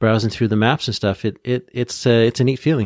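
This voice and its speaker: A plain, everyday voice: a man with a Canadian accent, medium pitch and a fairly quick pace, dry and close with no echo, in a very clean recording against a silent background. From Ontario, Canada. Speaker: podcast co-host and former tour guide. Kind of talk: casual chat.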